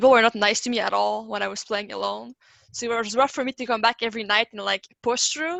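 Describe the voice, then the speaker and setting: Here a woman speaks with a French accent. Her pace is very fast. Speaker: esports player. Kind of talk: panel discussion.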